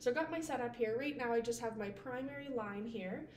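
Over light background noise and audible room echo, a woman talks at a fairly quick pace. Her pitch varies in an ordinary way. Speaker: nursing instructor. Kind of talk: tutorial. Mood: friendly, relaxed. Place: home room. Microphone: camera far.

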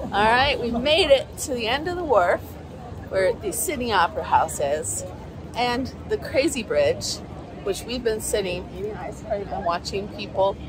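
A woman at a moderate pace, dry sound with no echo, crowd noise in the background. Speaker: travel vlogger. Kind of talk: casual vlog chat. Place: waterside. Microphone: phone near.

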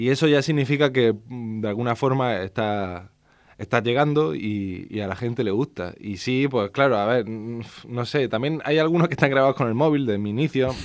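A plain, everyday voice with ordinary pitch variation and a moderate pace. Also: man, medium pitch for a man. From Spain, Andalusia (Almería). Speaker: poet and audiobook narrator. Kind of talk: interview. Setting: radio studio.

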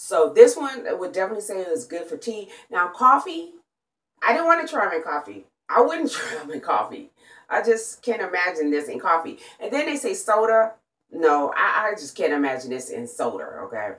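A woman speaks fairly quickly at a fairly high pitch. Her pitch swings very widely, with vocal fry throughout. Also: big swings in loudness. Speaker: product reviewer, vlogger. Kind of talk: casual product review. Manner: chatty, repetitive with fillers. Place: home room. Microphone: phone near.

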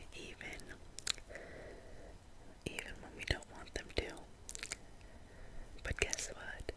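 Here a woman whispers. Her delivery is very slow. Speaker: ASMR content creator. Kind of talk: ASMR relaxation video. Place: home room. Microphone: studio mic.

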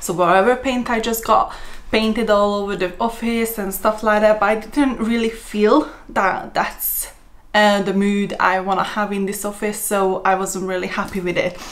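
With fairly even intonation, a woman delivers her words at a moderate pace. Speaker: lifestyle vlogger. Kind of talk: casual vlog chat. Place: office.

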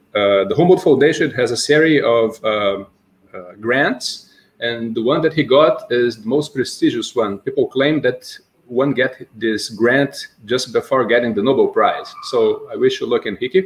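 A man with a Portuguese accent speaks at a moderate pace. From Brazil. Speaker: seminar host. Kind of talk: academic Q&A and introduction. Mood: polite, formal. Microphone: video call.

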